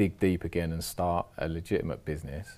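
A man's very deep, low, dark and mellow voice with a London accent and monotone, flat intonation, on a very clean recording with a silent background. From London, south-west. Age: 40s. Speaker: former offender turned trauma worker. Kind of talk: podcast interview.

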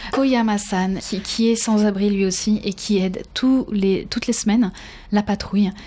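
A woman's dark, mellow, somewhat breathy voice of medium pitch, at a moderate pace with fairly even intonation. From France. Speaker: podcast host, professional trainer. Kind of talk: interview.

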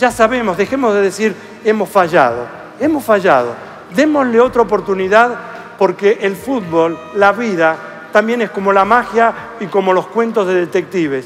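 A man speaks at a moderate pace in a high pitch with lively intonation. Music plays in the background. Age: 60s. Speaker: mathematician. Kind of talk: interview.

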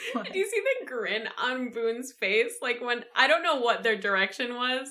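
A woman talks rather slowly in a bright, sharp tone. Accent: American. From Michigan, USA. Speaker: podcast co-host. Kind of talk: casual chat.

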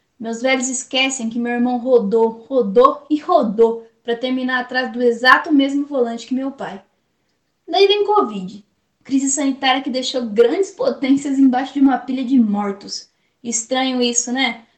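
Speaking in a Brazilian accent at a moderate pace, a woman has a high pitch and ordinary pitch variation. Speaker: poet. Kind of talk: spoken-word poetry performance. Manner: impassioned, rhythmic, defiant; sarcastic, biting.

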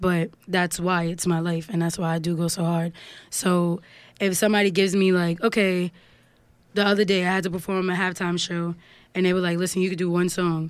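In a New York accent, a woman speaks with a monotone, flat intonation and a fairly low pitch. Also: fairly quick pace. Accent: New York, Harlem. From Harlem, New York. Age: 20s. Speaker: singer and songwriter. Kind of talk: casual interview chat.

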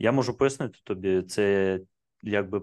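Over a quiet background, a man with a Russian accent speaks at a fairly low pitch and a fairly slow pace. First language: Russian (speaking Ukrainian). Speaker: IT entrepreneur. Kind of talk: casual chat.

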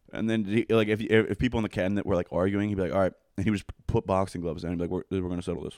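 On a very clean recording with a silent background and a dry, close sound with no echo, a man with an American accent talks at a very fast pace in a fairly low pitch with fairly even intonation. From Pennsylvania, Coatesville. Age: 20s. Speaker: podcast guest. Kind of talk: casual chat.

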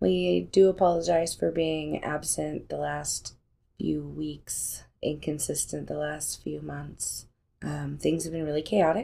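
The recording is very clean, with a silent background. A woman speaks at a very slow pace. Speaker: podcast host. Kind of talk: casual chat.

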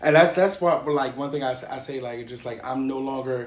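A man at medium pitch speaks with audible room echo and noticeable background noise. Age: 30s. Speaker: podcast host. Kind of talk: casual chat.

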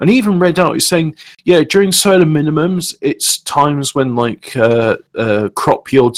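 Recorded with a dry, close sound and no echo, a man with a British accent speaks with lively intonation. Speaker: podcast host. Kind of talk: casual chat. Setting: live stream, online call.

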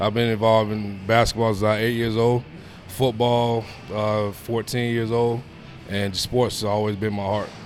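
A man speaks at a moderate pace with a fairly low pitch and monotone, flat intonation. Room echo is audible. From New York. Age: 30s. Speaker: personal trainer. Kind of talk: casual interview. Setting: gym.

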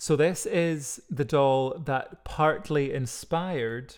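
Speaking very slowly with a Scottish accent, a man with a fairly high pitch is heard on a very clean recording with a silent background. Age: 30s. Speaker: podcast co-host. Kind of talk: casual chat with storytelling.

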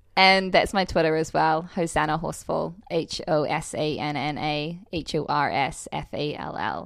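At a moderate pace and with hardly any pauses, a woman with a New Zealand accent speaks in a very deep, low pitch with vocal fry and ordinary pitch variation. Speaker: model and actress. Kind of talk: casual interview chat.

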